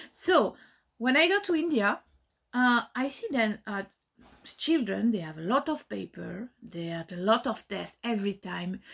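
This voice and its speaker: On a very clean recording with a silent background, a woman with a French accent speaks at a moderate pace, her fairly high pitch swinging very widely. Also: big swings in loudness. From France. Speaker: dance teacher. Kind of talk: recorded testimony. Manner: halting, many fillers.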